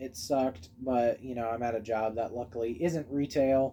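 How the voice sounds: A man at a slow pace, dark and mellow in tone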